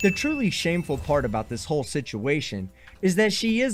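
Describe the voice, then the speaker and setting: A man speaks with an American accent. He keeps a fairly quick pace. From Texas. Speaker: reaction commentator. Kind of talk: reaction commentary.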